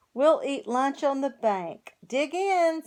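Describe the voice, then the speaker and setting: A woman puts on a character voice, high-pitched and warm in tone. She speaks at a fairly slow pace with very wide swings in pitch. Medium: read story. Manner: warm, encouraging.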